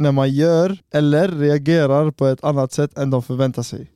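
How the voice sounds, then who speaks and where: A dark, mellow tone at a moderate pace with fairly even intonation, in a dry, close sound with no echo on a very clean recording with a silent background. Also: man. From Sweden, Borås (Tunisian family). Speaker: podcast co-host. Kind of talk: casual chat. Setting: studio.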